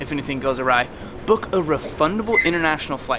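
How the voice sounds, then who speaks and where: At a very fast pace, a fairly high-pitched man speaks over noticeable background noise. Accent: American. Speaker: travel vlogger. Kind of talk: casual vlog tips.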